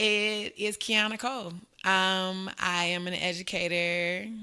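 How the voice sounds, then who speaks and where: Recorded very cleanly against a silent background, a woman with a Southern accent speaks in a bright, sharp tone at medium pitch with ordinary pitch variation. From Arkansas, US South. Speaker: elementary school teacher. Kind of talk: casual podcast interview.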